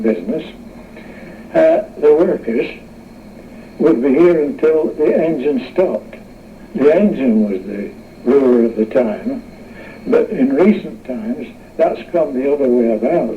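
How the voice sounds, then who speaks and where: With noticeable background noise behind him, a man with a fairly high voice speaks at a moderate pace, his pitch swinging very widely between long, frequent pauses. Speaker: mill engineer. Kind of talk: interview answer. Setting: radio interview recording.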